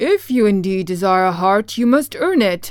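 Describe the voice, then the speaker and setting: A woman's put-on character voice at a medium pitch and a moderate pace. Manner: gruff.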